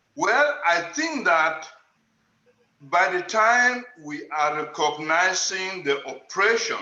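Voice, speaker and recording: Lively in intonation, a man talks at a very slow pace amid audible room echo. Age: 70s. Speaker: panel participant, writer. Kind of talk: panel discussion. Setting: video call.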